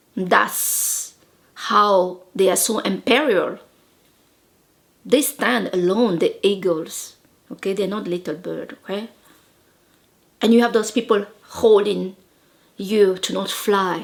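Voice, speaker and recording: The speaker has a French accent and ordinary pitch variation. The pace is very slow, with long, frequent pauses. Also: woman, medium pitch for a woman. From Madagascar. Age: 40s. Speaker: life coach. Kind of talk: motivational talk. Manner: animated.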